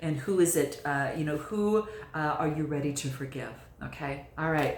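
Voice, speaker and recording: A woman speaks at a moderate pace with a very deep, low pitch and ordinary pitch variation. Audible room echo and noticeable background noise surround her voice. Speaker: tarot reader. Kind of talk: tarot reading monologue. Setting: by candlelight. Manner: speaking low; halting, many fillers.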